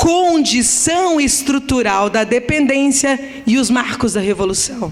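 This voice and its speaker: A woman's high voice with lively intonation over noticeable background noise. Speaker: academic lecturer. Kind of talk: conference lecture. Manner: slow.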